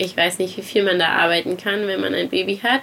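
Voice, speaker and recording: Against noticeable background noise, a woman at a medium pitch talks at a fairly quick pace with fairly even intonation. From Saarland, Germany. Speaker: interior designer and charity founder. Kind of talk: casual interview. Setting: outdoors by the sea.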